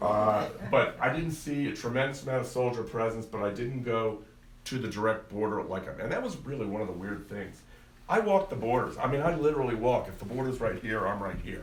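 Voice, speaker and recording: Audible room echo surrounds a man speaking at a fairly quick pace, with medium pitch and ordinary pitch variation. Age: 60s. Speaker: lawyer giving a travel briefing. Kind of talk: talk with slides to a live audience. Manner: animated storytelling.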